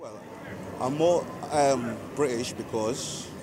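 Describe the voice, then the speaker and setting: A man's medium-pitched voice, with audible room echo and noticeable background noise. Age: 40s. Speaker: interviewee, African migrant. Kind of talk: interview answer.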